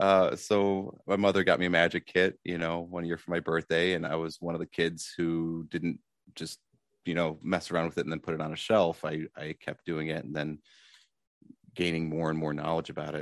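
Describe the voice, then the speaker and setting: In a dry, close sound with no echo and a quiet background, a man with an American accent speaks at a moderate pace with a very deep, low pitch and monotone, flat intonation. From Michigan, Detroit suburbs. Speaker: magician. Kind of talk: interview conversation. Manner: halting, many fillers.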